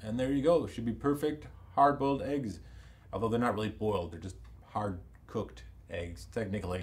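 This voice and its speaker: At a fairly quick pace, a man speaks with a somewhat breathy voice at a medium pitch. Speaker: comedian. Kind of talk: comedic news commentary to camera. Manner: casual, joking.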